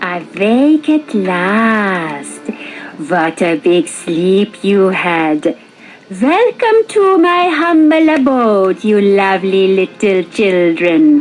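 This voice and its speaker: A put-on character voice, female-sounding and medium-pitched, at a very slow pace over clear background noise. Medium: read story. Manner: sugary, grandmotherly.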